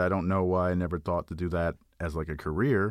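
A man with an American accent speaks at a very deep, low pitch and a fairly quick pace. The recording is very clean, with a silent background. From Texas, Houston. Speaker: toy sculptor and illustrator. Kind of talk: interview.

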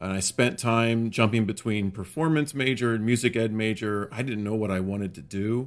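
A man with an American accent has a plain, everyday voice, medium pitch, ordinary pitch variation and a moderate pace with hardly any pauses. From central Pennsylvania. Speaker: high school orchestra director. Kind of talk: casual interview.

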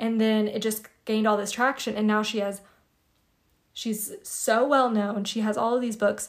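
In a very clean recording with a silent background, the voice moves at a moderate pace with monotone, flat intonation. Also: woman. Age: 20s. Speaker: spiritual podcast host. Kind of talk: solo podcast monologue. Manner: casual, conversational.

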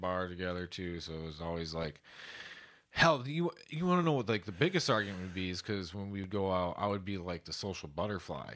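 Speaking at a fairly quick pace, a man with a low pitch uses a fairly bright tone and lively intonation.

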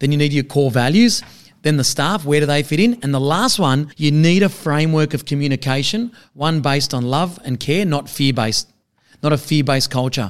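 A man speaks at a fairly quick pace in a fairly high pitch with ordinary pitch variation and an unremarkable speaking voice. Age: 40s. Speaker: accountant and business advisor. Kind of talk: podcast interview.

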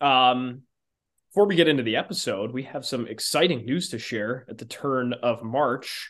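Here is a man with an ordinary speaking voice and a medium pitch. He talks at a moderate pace with ordinary pitch variation and big swings in loudness. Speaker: podcast host. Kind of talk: casual sports and beer chat.

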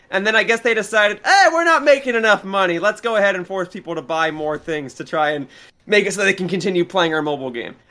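Raised and projected, a man's high-pitched voice comes at a very fast pace with lively intonation and a bright, sharp tone, in a very clean recording with a silent background. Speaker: gaming commentator, returning guest. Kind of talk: casual chat. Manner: stuttering at times.

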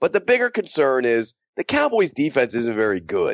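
Speaking at a moderate pace, a man with an American accent has a fairly high pitch. His pitch swings very widely. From South Florida, US. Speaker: NFL writer. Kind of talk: casual sports betting picks chat. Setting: Skype call.

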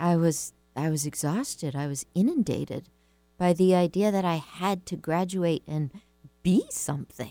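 A woman with a normal speaking voice, fairly low in pitch, at a moderate pace on a very clean recording with a silent background. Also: ordinary pitch variation. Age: 50s. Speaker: radio host and writing coach. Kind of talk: talk radio monologue with listener questions. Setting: radio studio.

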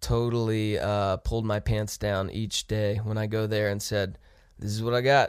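A man with an American accent has a plain, everyday voice at a fairly low pitch. He keeps a moderate pace and fairly even intonation on a very clean recording with a silent background. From US Midwest. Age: 20s. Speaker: rock band musician. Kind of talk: casual interview chat.

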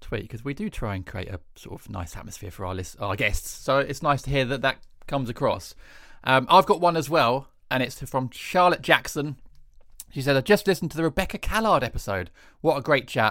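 A man's bright, sharp voice, fairly high for a man, with vocal fry, very wide pitch swings and a fairly quick pace, in a very clean recording with a silent background. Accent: English. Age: 30s. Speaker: comedian and podcast co-host. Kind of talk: casual chat.

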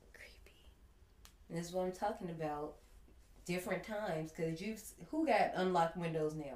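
The speaker talks at a moderate pace with ordinary pitch variation and long, frequent pauses. An audible room echo surrounds the voice. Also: woman, fairly low pitch for a woman, big swings in loudness. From US Midwest (Gary, Indiana). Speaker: podcast host, horror movie reviewer. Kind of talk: casual chat.

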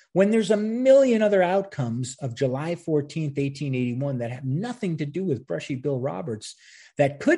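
Against a quiet background, a man speaks at a moderate pace with a fairly high pitch. His tone is dark and mellow, somewhat breathy, with lively intonation. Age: 50s. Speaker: history podcast host. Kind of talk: solo commentary podcast. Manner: casual, conversational with laughs.

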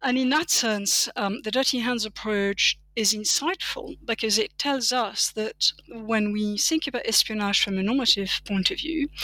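A woman with a French accent, fairly high in pitch with ordinary pitch variation, at a fairly slow pace in a dry, close sound with no echo. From France. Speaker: political philosophy professor. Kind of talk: academic interview. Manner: frequent fillers (um, you know).

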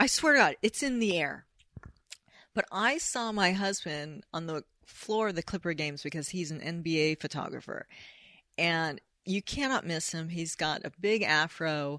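A woman with a Californian accent speaks at a moderate pace in a bright, sharp tone at a fairly low pitch. Her intonation is lively, the background is quiet, and the sound is dry and close with no echo. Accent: General American, Californian. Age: 50s. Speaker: screenwriter and author. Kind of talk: casual interview chat. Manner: animated.

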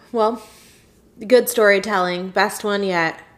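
The woman speaks at a slow pace with fairly even intonation. Her voice sits at a medium pitch and has a fairly bright tone.

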